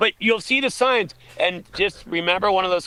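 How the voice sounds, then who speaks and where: A man's raised, projected voice, high in pitch, with very wide pitch swings at a moderate pace. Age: 50s. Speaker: aid station volunteer and race organizer. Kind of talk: casual chat. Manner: animated.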